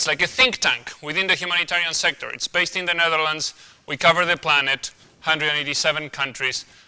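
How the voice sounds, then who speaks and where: A man speaks with an Argentine accent at a very fast pace. His pitch is fairly high, with ordinary pitch variation. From Argentina. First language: Spanish. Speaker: humanitarian researcher. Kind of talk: guest lecture.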